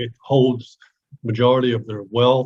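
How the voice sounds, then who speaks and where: At a moderate pace, a man speaks in a medium-pitched, somewhat breathy voice. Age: 70s. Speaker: transportation business advisor. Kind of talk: webinar panel discussion.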